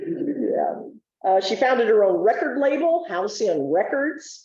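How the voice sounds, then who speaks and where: A woman speaks loudly in a high voice at a fairly slow pace. Her pitch swings very widely. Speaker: jazz historian. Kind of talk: presentation. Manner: animated.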